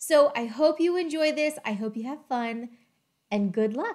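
Over a quiet background, a woman with a high pitch talks at a moderate pace with very wide pitch swings. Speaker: educator on data topics. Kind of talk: tutorial. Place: home room. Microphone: webcam.

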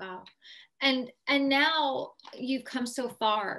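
Against a quiet background, a woman speaks in a bright, sharp tone with ordinary pitch variation. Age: 30s. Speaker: show host and patient advocate. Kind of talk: interview. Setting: studio. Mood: warm, admiring. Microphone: video call.

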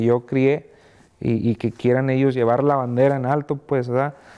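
Speaking at a fairly slow pace, a man has a dark, mellow tone and a monotone, flat intonation. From Mexico. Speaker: music label founder; interviewee. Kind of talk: interview. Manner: halting, many fillers and repeats. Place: studio.

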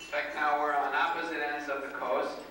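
A man speaks with strong room echo and light background noise. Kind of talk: wedding toast speech. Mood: warm, a bit nervous. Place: hall.

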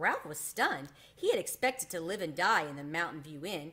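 A woman's bright, sharp tone with big pitch swings at a moderate pace

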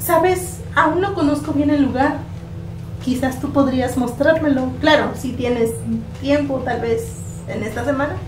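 Clear music plays in the background as a woman speaks at a fairly slow pace. She takes long, frequent pauses. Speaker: actress in a skit. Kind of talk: acted dialogue as a new student.

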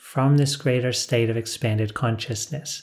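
The background stays quiet. Against it, a man talks with fairly even intonation. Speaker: spiritual teacher. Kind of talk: calm spiritual talk to camera. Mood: calm, warm, smiling. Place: studio.

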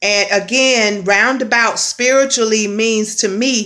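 A woman's bright, sharp tone with fairly even intonation, over a quiet background. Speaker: spiritual vlogger. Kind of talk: casual spiritual vlog message. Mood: earnest, expressive. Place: home room. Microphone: phone near.

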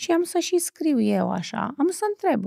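A woman at a fairly slow pace, dry sound with no echo, and a quiet background. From Romania. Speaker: talk show host. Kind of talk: interview. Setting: studio. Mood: warm, expressive. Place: studio. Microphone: studio mic.

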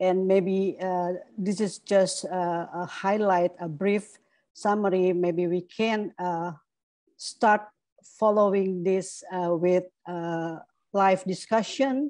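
A woman speaks very slowly in a dark, mellow tone with fairly even intonation. The sound is dry with no echo, and the background is quiet. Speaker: invited journalist trainer. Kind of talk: lecture. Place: home room. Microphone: earbuds.

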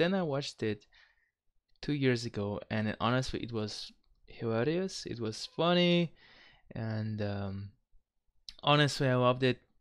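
A man with a Kazakh accent at a moderate pace, ordinary pitch variation, and a quiet background. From Kazakhstan. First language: not English. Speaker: reaction youtuber. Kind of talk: casual talk to camera. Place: home room. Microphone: headset.

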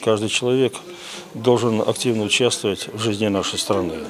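Over light background noise, a man uses a plain, everyday voice at a moderate pace with ordinary pitch variation. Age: 60s. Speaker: former election official. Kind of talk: on-camera interview comment. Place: hall. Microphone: handheld.

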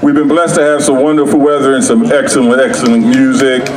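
A man speaks over noticeable background noise. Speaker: emcee announcer. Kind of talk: stage announcement. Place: street. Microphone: pa.

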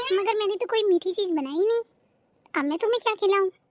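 A female-sounding cartoonish character voice, extremely high in pitch, moves along at a fairly quick pace. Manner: sarcastic, lively.

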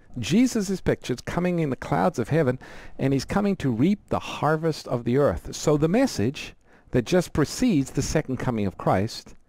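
A man speaks in a dark, mellow tone with very wide pitch swings. The sound is dry, with no echo. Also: moderate pace. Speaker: radio program host. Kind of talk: explanatory Bible teaching on call-in show. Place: studio. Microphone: headset.

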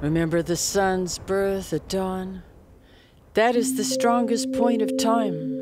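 A woman at medium pitch and a very slow pace, over noticeable background noise. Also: ordinary pitch variation. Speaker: poet. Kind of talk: poetry reading.

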